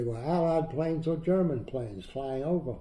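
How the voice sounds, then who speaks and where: Speaking with an American accent, a man has a dark, mellow, somewhat breathy tone, ordinary pitch variation and a moderate pace. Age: 90s. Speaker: WWII veteran and Dachau liberator. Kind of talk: interview answer, recounting war memories.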